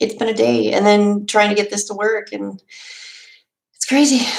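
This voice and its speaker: A woman speaks with a Minnesota accent. She goes at a fairly slow pace with long, frequent pauses. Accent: Minnesota accent, long O's. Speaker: homesteading podcaster and YouTuber. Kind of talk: casual live stream chat. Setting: live stream on webcam. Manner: animated, chatty.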